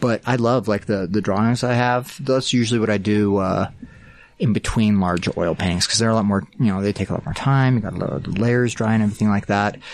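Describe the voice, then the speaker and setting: A man with an American accent talks at a fairly quick pace in an ordinary speaking voice, his pitch fairly low with ordinary variation, against a quiet background. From small-town Utah. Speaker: artist. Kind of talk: interview.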